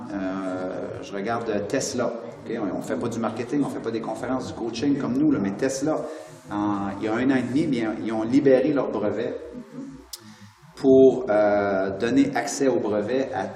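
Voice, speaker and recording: A man with a Quebec accent talks at a medium pitch and fairly slow pace, with ordinary pitch variation and long, frequent pauses, amid noticeable background noise and audible room echo. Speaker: motivational speaker and author. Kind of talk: interview. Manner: animated.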